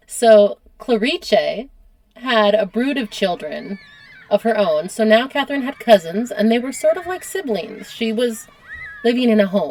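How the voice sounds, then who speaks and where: A woman with an American accent uses an ordinary speaking voice, fairly high in pitch, with lively intonation. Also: fairly slow pace. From United States. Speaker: history podcast host. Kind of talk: casual conversational storytelling.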